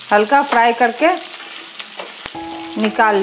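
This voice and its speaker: A very slow pace with light background noise. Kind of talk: cooking tutorial. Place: kitchen. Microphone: phone near.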